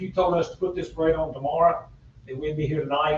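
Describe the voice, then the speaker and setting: A man's fairly high voice with a Southern US accent over noticeable background noise. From North Carolina, Iredell County. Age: 70s. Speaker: parade organizer and school board member. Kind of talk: public meeting remarks. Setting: town budget meeting. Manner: halting.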